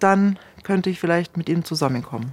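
A woman speaks with a fairly low pitch and very wide pitch swings. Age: 50s. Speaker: former cult member. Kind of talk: interview testimony.

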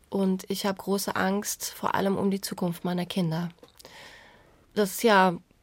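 A woman talks at a fairly slow pace in a medium pitch with monotone, flat intonation. The recording is very clean, with a silent background. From Iran. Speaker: journalist. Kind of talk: casual chat.

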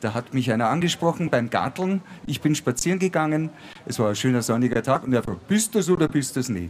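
A man speaks very fast at a medium pitch, with very wide pitch swings. Noticeable background noise runs underneath. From Bavaria, Ingolstadt. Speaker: comedian and musician. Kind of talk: live stage talk. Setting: outdoor stage with live audience.

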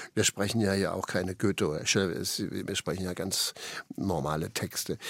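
At a moderate pace and a fairly low pitch, a man talks in an ordinary speaking voice. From Saxony, Dresden. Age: 60s. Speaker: actor. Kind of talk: radio interview.

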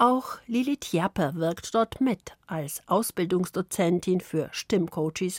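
A woman speaks very slowly at a medium pitch with lively intonation, in a dry, close sound with no echo on a very clean recording with a silent background. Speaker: radio journalist. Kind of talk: radio feature narration.

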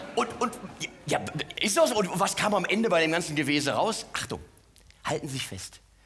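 A man with a high voice, lively intonation and a fairly quick pace, broken by long, frequent pauses, over noticeable background noise. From Mainz, Rhineland-Palatinate. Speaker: cabaret artist. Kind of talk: stand-up.

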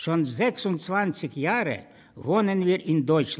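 A man speaks in a high pitch with ordinary pitch variation on a very clean recording with a silent background. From Ukraine. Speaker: retired school director, community board member. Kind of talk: interview testimony.

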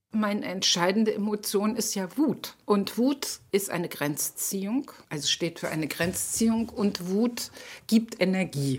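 Speaking fairly slowly with lively intonation, a woman has an unremarkable speaking voice. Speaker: political activist. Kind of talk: interview testimony.

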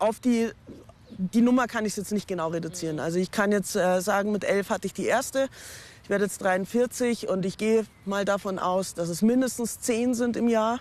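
This woman's voice sits fairly high, with ordinary pitch variation and a moderate pace. It is an unremarkable speaking voice. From Munich, Bavaria. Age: 40s. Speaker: teacher. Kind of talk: interview testimony. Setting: outdoors.

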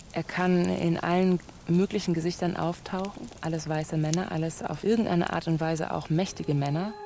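The intonation is fairly even and the pace moderate. Noticeable background noise can be heard. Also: woman. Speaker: radio play author and game leader. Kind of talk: radio play conversation. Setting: studio. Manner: sudden shifts between loud and soft; erratic, jumpy delivery.

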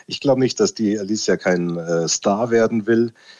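A man with an unremarkable speaking voice talks at a moderate pace in a fairly low pitch with ordinary pitch variation. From Lower Bavaria. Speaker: music producer. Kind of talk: interview.

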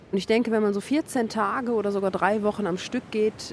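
A woman's medium-pitched voice with fairly even intonation, over noticeable background noise. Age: 30s. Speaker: coach and amateur surfer. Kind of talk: interview.

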